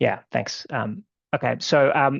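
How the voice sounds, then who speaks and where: Here a man talks with an Australian accent. The background is quiet. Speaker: law firm co-founder, webinar presenter. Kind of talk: webinar presentation. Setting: online webinar. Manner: halting, many fillers. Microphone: one viewer reported bad sound.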